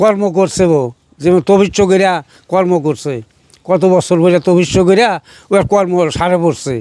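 Pitched high for a man, this voice has a dark, mellow tone and ordinary pitch variation. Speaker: father of a village inventor. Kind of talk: interview.

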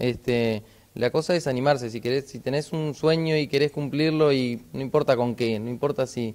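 A moderate pace paired with ordinary pitch variation. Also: man. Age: 30s. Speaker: inline skater, adventurer. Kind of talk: TV interview. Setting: on location in a sports shop. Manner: halting, many fillers. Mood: friendly, relaxed. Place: shop. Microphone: handheld.

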